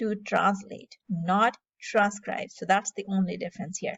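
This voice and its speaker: A woman speaks with a Punjabi accent. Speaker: AI tutorial YouTuber. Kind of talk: tutorial. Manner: casual with frequent fillers (um, uh).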